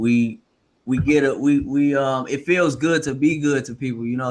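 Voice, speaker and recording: A fairly high male voice, its pitch varying in an ordinary way. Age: 30s. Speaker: podcast host. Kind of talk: casual chat. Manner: fast.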